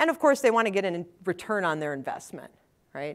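In a Wisconsin accent, a woman talks at a medium pitch. The recording is very clean with a silent background. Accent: Wisconsin Upper Midwest. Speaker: technical evangelist. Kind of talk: conference talk. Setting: stage with audience.

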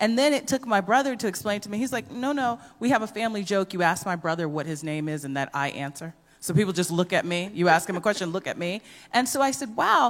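A woman talks at a fairly quick pace with a medium pitch. Her intonation is lively, with noticeable background noise behind her. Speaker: equality program director. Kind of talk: panel discussion.

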